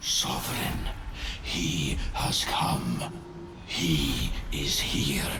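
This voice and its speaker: Loud background noise and a clear echo surround a put-on character voice delivered at a very slow pace. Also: man. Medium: game stream. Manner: droning, imperious.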